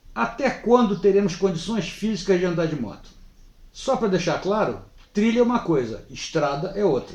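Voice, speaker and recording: With lively intonation, a man talks at a high pitch and a moderate pace. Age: 70s. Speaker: motorcycle vlogger. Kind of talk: casual vlog monologue.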